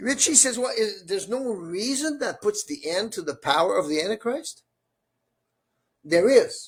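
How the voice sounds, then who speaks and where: A high-pitched man with lively intonation at a moderate pace. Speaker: Bible study teacher. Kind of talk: bilingual Bible study group discussion. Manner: halting, repeats words.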